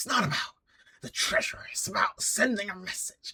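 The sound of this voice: Moderately paced put-on character voice pitched fairly high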